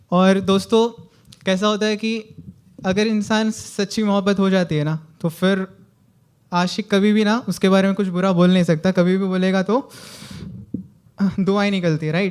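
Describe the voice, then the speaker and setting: A man speaks with a high pitch and fairly even intonation. He leaves long, frequent pauses. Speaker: amateur poet. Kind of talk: casual talk to a live audience.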